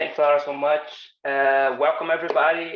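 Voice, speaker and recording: In a Portuguese accent, a man speaks at a moderate pace. His pitch is fairly high. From Brazil. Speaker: designer and animation instructor. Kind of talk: online workshop presentation.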